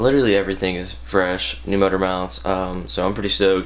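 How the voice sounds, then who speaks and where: Speaking at a fairly quick pace, a man with a very deep, low pitch uses lively intonation. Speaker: drift car driver and vlogger. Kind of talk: casual vlog.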